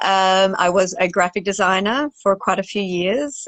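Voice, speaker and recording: A woman's medium-pitched voice with an Australian accent. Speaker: wildlife cinematographer and photographer. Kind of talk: interview Q&A. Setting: Instagram live video call.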